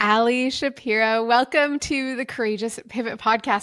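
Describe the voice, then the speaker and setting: Pitched fairly high, a woman's voice moves at a moderate pace. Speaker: podcast host. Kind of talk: casual chat; scripted introduction.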